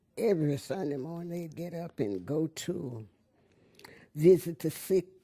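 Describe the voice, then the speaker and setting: A woman's very deep, low voice with a dark, mellow tone, ordinary pitch variation and a fairly slow pace. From US South (Arkansas, Memphis). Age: 80s+. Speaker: oral history interviewee. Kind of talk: oral history interview.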